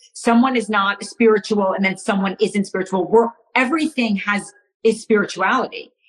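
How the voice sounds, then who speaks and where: Somewhat breathy and fairly high, a woman's voice has an American accent. She talks at a moderate pace with ordinary pitch variation. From United States. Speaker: astrologer. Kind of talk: casual chat. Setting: live video stream.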